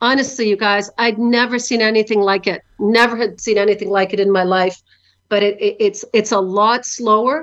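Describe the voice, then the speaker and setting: A plain, everyday voice at a moderate pace, with ordinary pitch variation and very even loudness. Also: woman. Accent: Canadian. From Canada. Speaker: vodka company founder. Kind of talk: interview.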